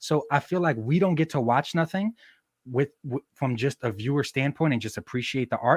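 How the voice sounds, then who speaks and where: A man's fairly high, somewhat breathy voice at a moderate pace, in a dry, close sound with no echo. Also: ordinary pitch variation, very clean recording, silent background. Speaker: action figure photographer and customizer. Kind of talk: casual interview chat.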